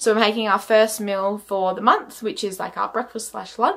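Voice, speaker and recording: Speaking at a moderate pace, a woman with an Australian accent has a fairly high pitch. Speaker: vlogger. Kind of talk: casual vlog chat.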